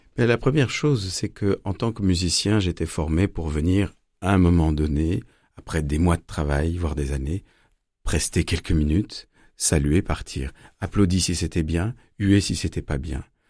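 A man talks at a fairly slow pace in a very deep, low voice with a dark, mellow tone and ordinary pitch variation. The recording is very clean, with a silent background. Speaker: violinist and storyteller. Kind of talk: interview.

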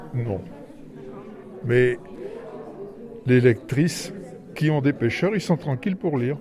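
Over noticeable background noise, a man with a fairly high pitch speaks at a very slow pace with lively intonation and long, frequent pauses. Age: 70s. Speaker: prison inmate. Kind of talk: book discussion.

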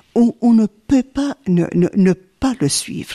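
A woman's voice, dry and close, with no echo. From Belgium, Hainaut (born in Sicily, arrived aged 3). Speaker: nun, community superior. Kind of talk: radio interview. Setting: abbey.

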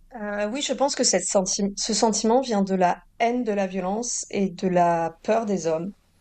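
Her pitch is medium with ordinary variation as the woman talks at a moderate pace. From southern France, Toulouse. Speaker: novelist. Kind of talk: interview. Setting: remote link from Nice. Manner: hesitant, repeats words.

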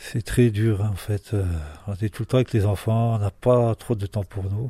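A man with a fairly low pitch, a dark, mellow, somewhat breathy tone and monotone, flat intonation at a fairly slow pace, in a dry, close sound with no echo and a very clean recording with a silent background. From Marseille area. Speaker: father. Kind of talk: interview.

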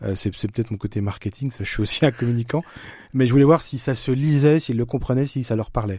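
The pace is fairly quick. The voice is somewhat breathy. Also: man, medium pitch for a man, ordinary pitch variation. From eastern France (Franche-Comté). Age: 50s. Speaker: author and screenwriter. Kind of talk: interview.

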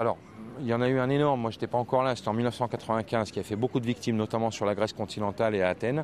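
In an unremarkable speaking voice, a man delivers his words at a medium pitch and a fairly quick pace. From France. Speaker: tour guide. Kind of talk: casual interview.

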